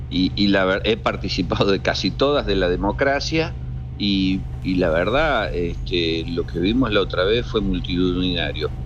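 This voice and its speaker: Against music in the background and audible room echo, a man with a very deep, low pitch talks at a fairly slow pace, his pitch swinging very widely while his loudness stays very even. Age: 60s. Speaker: senator and former university rector. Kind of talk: radio interview.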